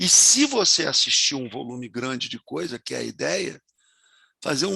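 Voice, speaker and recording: Lively intonation from a man with a bright, sharp tone and vocal fry, in a dry, close sound with no echo. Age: 70s. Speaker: university professor. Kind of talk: lecture.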